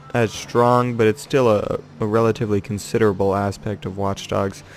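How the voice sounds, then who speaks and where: Noticeable background noise surrounds a man who speaks quietly at a moderate pace. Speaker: gamer. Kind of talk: gameplay commentary. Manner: quiet, monotone.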